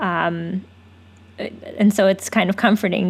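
A woman's unremarkable speaking voice at medium pitch, with fairly even intonation. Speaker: podcast host. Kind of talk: interview podcast conversation.

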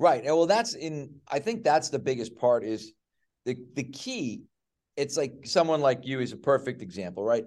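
A plain, everyday voice with an American accent, lively intonation and a moderate pace. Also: man, medium pitch for a man. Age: 60s. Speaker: strength and conditioning coach. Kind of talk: casual chat. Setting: video call from a small work studio.

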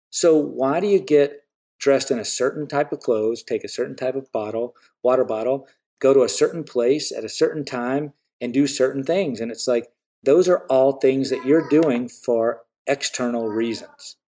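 A man speaks at a moderate pace in a fairly high pitch, with ordinary pitch variation. The recording is very clean, with a silent background. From US South. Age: 40s. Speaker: artist. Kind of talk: casual chat. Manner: animated.

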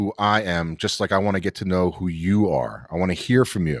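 On a very clean recording with a silent background, a man speaks with a New York accent. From New York City, Queens. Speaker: sports podcast host. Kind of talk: casual chat. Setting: studio. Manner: animated.

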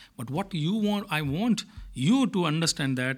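A man speaks with an Indian accent and lively intonation. The recording is very clean with a silent background. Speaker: manager at multinational company. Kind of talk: interview conversation about leadership and culture.

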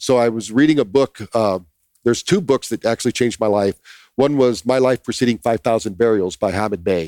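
A normal speaking voice moves at a fairly quick pace with ordinary pitch variation, on a very clean recording with a silent background and a dry, close sound with no echo. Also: man. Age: 60s. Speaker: brain training entrepreneur. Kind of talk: casual chat. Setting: ranch property in Texas.

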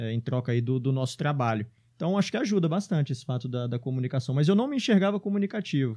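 Against a quiet background, a man speaks at a very fast pace in a fairly high voice with a dark, mellow tone. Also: lively intonation. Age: 30s. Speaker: entrepreneur. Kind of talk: interview. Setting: studio.

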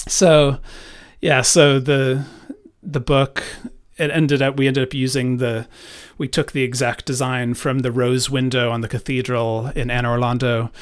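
At a moderate pace, a man with a medium-pitched voice speaks in a monotone, flat intonation. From Ireland. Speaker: book publisher and creative director. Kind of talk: casual interview conversation. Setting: late night recording. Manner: halting, many fillers and restarts.

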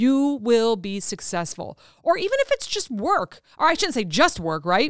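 Loud and animated, a woman speaks at a moderate pace in a high voice with very wide pitch swings, recorded dry and close with no echo on a very clean track with a silent background. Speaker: podcast host and author. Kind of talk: solo motivational talk. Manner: animated, loud.

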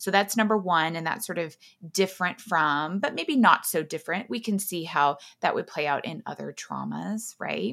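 Recorded very cleanly against a silent background, a woman with an American accent talks at a moderate pace in a fairly low, bright, sharp voice with vocal fry and ordinary pitch variation. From Texas. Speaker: clinical psychologist. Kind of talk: interview. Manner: frequent fillers (um).

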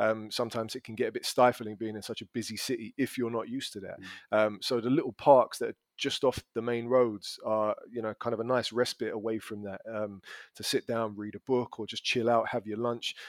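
A man speaks at a medium pitch with a London accent, his intonation flat and monotone. He talks at a fairly quick pace with hardly any pauses, in a dry, close sound with no echo. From London, England. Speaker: language school business development manager. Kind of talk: casual interview chat. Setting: podcast recording.

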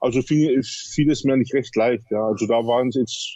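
A man's voice of medium pitch. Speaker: bodybuilder. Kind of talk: interview. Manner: halting, many fillers.

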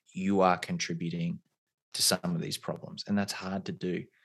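Against a quiet background, someone with an Australian accent speaks at a moderate pace with ordinary pitch variation. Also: man. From rural Australia. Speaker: career coach and pre-law platform founder. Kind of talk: interview conversation.

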